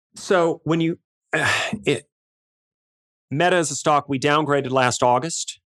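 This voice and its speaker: In an American accent, the speaker goes fairly slowly with long, frequent pauses, fairly even intonation and very even loudness, in a dry, close sound with no echo. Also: man, fairly high pitch for a man. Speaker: equity research analyst, firm founder. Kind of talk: casual interview. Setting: home office, remote.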